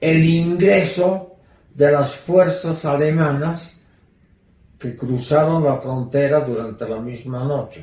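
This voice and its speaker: A man speaks with lively intonation. Room echo is audible. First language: German (speaking Spanish). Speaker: Holocaust survivor. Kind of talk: testimony.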